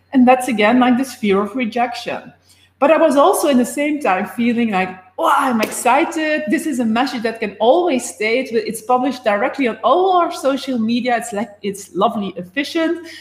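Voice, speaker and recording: A woman with a high-pitched voice speaks at a moderate pace with lively intonation, with noticeable background noise behind her. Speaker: life and business coach. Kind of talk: live stream talk.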